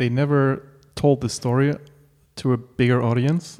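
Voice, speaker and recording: Using a German accent, a man with a medium pitch and a dark, mellow tone speaks at a moderate pace. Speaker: podcast host and art director. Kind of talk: casual interview. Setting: home apartment.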